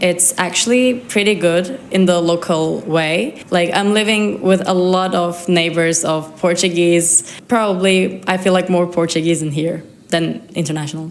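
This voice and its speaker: Audible room echo and noticeable background noise surround a woman speaking fairly slowly at a medium pitch. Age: 20s. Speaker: exchange student. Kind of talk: interview.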